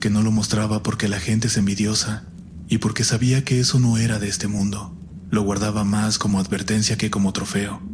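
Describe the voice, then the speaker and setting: Over noticeable background noise, a man speaks with a fairly low pitch and monotone, flat intonation. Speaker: horror story narrator. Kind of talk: horror story narration.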